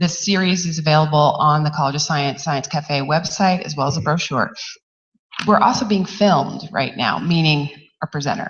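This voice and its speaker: A woman speaks with a somewhat breathy voice at a very deep, low pitch. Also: ordinary pitch variation, moderate pace. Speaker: university outreach organizer. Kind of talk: event announcements.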